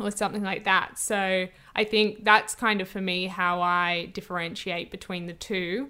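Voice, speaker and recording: A woman with an Australian accent speaks at a medium pitch in a bright, sharp tone. Her intonation is monotone and flat, on a very clean recording with a silent background. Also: moderate pace. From Australia, New South Wales South Coast. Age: 20s. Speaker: podcast host and actor. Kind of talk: casual interview. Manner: hesitant, lots of fillers and laughs.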